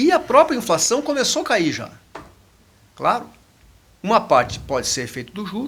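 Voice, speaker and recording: Big swings in loudness and very wide pitch swings, broken by long, frequent pauses. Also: man, extremely high pitch for a man. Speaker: economist. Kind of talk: podcast discussion. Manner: fast.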